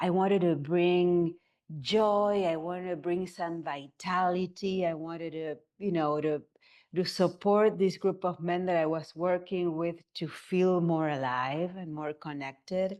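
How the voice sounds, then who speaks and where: Against a quiet background, a woman speaks fairly slowly with a fairly low pitch and fairly even intonation. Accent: Argentinian. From Argentina. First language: Spanish. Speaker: somatic movement therapist. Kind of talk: interview.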